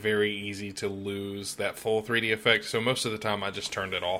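A man speaks at a fairly quick pace in a fairly low pitch, his tone bright and sharp. The recording is very clean, with a silent background. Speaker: podcast host, salesman. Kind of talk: casual chat.

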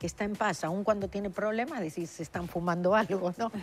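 Music plays in the background as a woman speaks at a moderate pace. Her pitch is medium with ordinary pitch variation. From Argentina. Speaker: author and spiritual speaker. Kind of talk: TV interview.

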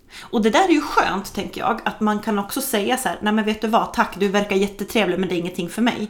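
Speaking at a very fast pace with hardly any pauses, the voice has ordinary pitch variation over noticeable background noise. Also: woman, fairly high pitch for a woman. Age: 40s. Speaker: podcast host. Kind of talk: interview. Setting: at a kitchen table in the guest's home.

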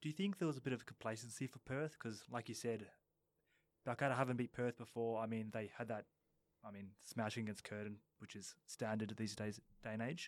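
With an Australian accent, a man speaks fairly quickly at a medium pitch. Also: ordinary pitch variation. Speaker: football coach. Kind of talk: casual chat. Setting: studio.

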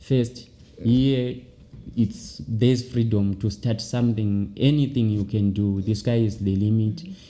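Medium pitch and a dark, mellow tone from a man. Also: ordinary pitch variation, moderate pace. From Zimbabwe. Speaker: farmer and small business owner. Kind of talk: interview. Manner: halting.

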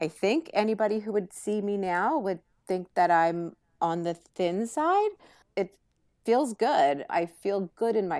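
A woman's ordinary speaking voice at a medium pitch and fairly slow pace, in a very clean recording with a silent background. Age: 50s. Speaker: author. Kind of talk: casual chat.

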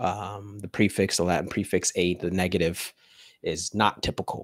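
A man speaks in a very clean recording with a silent background. The sound is dry and close, with no echo. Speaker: podcast host. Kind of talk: casual discussion of a book. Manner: excited, animated; slow, deliberate when explaining.

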